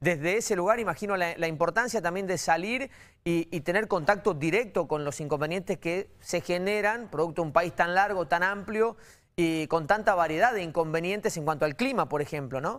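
This man's voice sits at a high pitch with ordinary pitch variation. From Argentina. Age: 40s. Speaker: TV interviewer. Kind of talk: interview. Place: studio.

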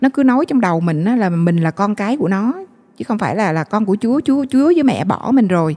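A woman speaks at a fairly quick pace in a medium pitch, over a quiet background. Her pitch swings very widely. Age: 40s. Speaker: guest sharing faith story; guest. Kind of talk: testimony. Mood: emotional, regretful recollection. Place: studio. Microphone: handheld.

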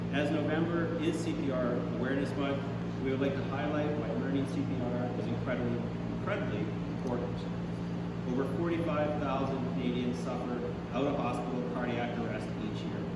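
A man talks at a moderate pace with long, frequent pauses. Loud background noise and audible room echo surround him. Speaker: paramedic spokesperson. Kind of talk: prepared press statement. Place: hall. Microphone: podium.

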